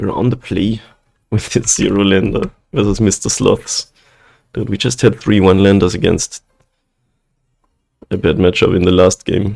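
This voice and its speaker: A soft-spoken man with a fairly low pitch talks in a fairly even intonation, leaving long, frequent pauses. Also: moderate pace. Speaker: gaming streamer. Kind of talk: gameplay commentary. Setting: at home, night.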